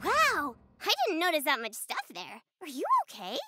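This is a cartoonish character voice with a high pitch. It moves at a moderate pace. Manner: enthusiastic, warm.

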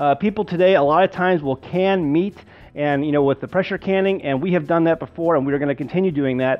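Talking at a very fast pace, a man uses a high pitch and fairly even intonation. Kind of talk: tutorial. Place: kitchen.

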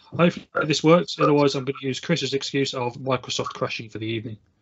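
The man's voice shows ordinary pitch variation. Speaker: meeting host. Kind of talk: meeting instructions. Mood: light, joking. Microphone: video call.

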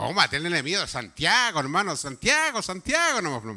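Against a quiet background, the voice moves at a fairly quick pace with a bright, sharp, animated tone. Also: man. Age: 70s. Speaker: pastor. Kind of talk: sermon. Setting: church. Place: church. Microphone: handheld.

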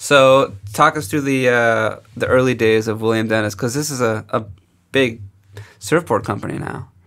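A man at a moderate pace, fairly even intonation, quiet background. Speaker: podcast host. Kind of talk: interview. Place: studio. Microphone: studio mic.

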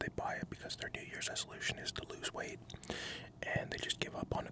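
A man whispering at a very fast pace. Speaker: ASMR creator. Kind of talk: casual vlog chat. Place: car. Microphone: studio mic.

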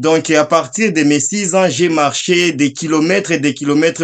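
A man's fairly high-pitched speech with ordinary pitch variation. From eastern Democratic Republic of the Congo (South Kivu); eastern Democratic Republic of the Congo. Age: 30s. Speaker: Congolese refugee and commentator. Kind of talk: video call discussion. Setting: video call. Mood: earnest, recounting war memories. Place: home room. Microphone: video call.

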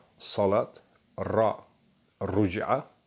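A man speaks with a non-native accent. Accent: non-native Turkish. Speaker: religious researcher presenting Quran study. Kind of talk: lecture. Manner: halting, many fillers.

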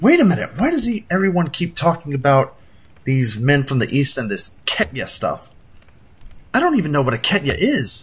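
The speaker does a put-on character voice with a husky, rough edge. The pitch swings very widely at a moderate pace. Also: man, fairly high pitch for a man.

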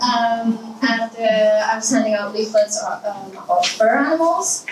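Against light background noise and audible room echo, a woman speaks at a fairly slow pace. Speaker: conference speaker. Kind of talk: presentation talk. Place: hall.

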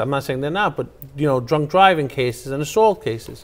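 A man speaks in an American accent. His intonation is lively. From Queens, New York; New York. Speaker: attorney and former city councilman; attorney, former city councilman. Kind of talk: political interview. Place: studio. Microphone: lapel.

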